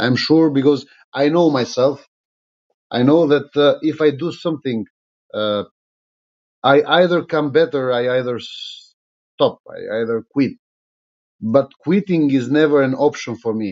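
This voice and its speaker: A man with an Albanian accent speaks at a fairly high pitch, with long, frequent pauses. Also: ordinary pitch variation, fairly slow pace. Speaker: politician. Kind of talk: live stream monologue. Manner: halting, many fillers.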